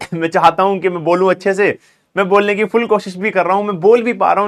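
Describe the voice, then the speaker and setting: A man speaks with a fairly high pitch for a man. His intonation stays fairly even at a fairly quick pace. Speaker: online tutor. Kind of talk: online lecture.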